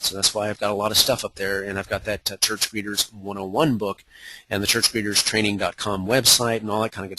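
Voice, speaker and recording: A man speaks in a bright, sharp tone at a fairly low pitch. His intonation is monotone and flat. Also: dry, close sound with no echo. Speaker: evangelism coach giving a webinar. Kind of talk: webinar presentation. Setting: online webinar. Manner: fast.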